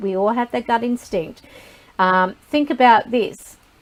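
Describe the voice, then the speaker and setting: A woman's ordinary speaking voice with a fairly high pitch, ordinary pitch variation and a fairly slow pace. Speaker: psychic reader. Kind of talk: live group talk.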